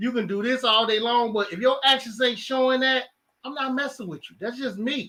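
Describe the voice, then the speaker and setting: A man with a Chicago accent speaks in a raised, projected voice at an extremely high pitch. His pace is fairly quick. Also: fairly even intonation. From Chicago, South Side. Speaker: podcast co-host. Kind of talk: casual chat.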